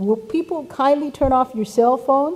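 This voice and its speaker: Noticeable background noise sits under a woman's speech. Her pitch varies in an ordinary way. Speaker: event facilitator. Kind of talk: conference announcements.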